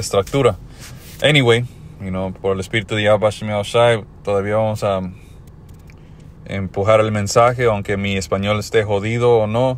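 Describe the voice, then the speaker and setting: Fairly low in pitch, a man speaks with an English accent and fairly even intonation. His moderate pace is broken by long, frequent pauses. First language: English (speaking Spanish). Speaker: religious teacher. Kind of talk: religious teaching. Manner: halting.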